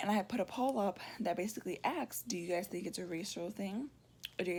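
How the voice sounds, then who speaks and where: A woman's somewhat breathy, medium-pitched voice at a very fast pace, with ordinary pitch variation. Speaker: vlogger. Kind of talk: casual vlog storytelling.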